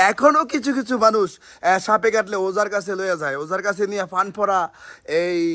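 A man uses a raised, projected voice at a high pitch. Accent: Comilla. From Bangladesh, Comilla. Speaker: snake rescue video presenter. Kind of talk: on-location vlog narration and safety advice. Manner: animated.

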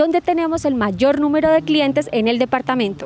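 A woman's high voice, lively in intonation and fairly quick in pace, with a dry sound with no echo and light background noise. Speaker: presenter. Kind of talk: promotional report to camera. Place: street. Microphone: handheld.

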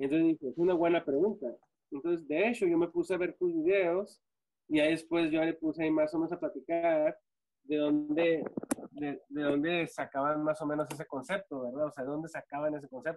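Fairly high-pitched male speech at a fairly quick pace with fairly even intonation, over noticeable background noise. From US-Mexico border, Ciudad Juárez / El Paso; US-Mexico border. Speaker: former church member; podcast guest. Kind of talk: panel discussion. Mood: friendly, smiling. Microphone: video call.

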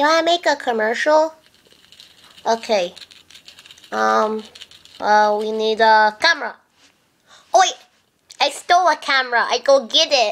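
A cartoonish character voice, female-sounding and high-pitched, at a moderate pace with long, frequent pauses. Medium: puppet. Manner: excited, rambling.

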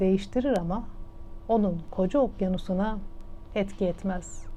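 Dark, mellow tone from a woman, her pitch varying in an ordinary way. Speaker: radio host and storyteller. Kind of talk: radio storytelling of a moral parable.

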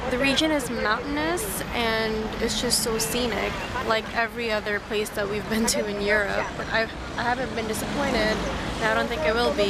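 A woman at a moderate pace with ordinary pitch variation, in a dry sound with no echo, against loud background noise. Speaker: travel vlogger. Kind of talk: casual vlog chat. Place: waterside. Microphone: phone near.

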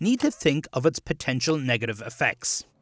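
A man in an Irish accent speaks at a moderate pace and medium pitch with very wide pitch swings, on a very clean, dry, close recording with a silent background and no echo. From Ireland, County Kerry. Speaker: tech reporter. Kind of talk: news report narration.

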